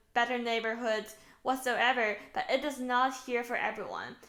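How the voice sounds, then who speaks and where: A woman with a Chinese accent, high-pitched, at a moderate pace. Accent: Mandarin Chinese accent in English. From China. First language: Mandarin. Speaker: author. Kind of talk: book promotion talk.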